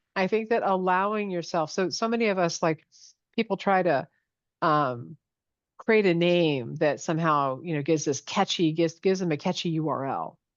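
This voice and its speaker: At a moderate pace, a woman speaks at a fairly low pitch with ordinary pitch variation against a quiet background. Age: 60s. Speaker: business coach for entrepreneurs. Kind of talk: interview conversation. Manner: halting, many repetitions and fillers.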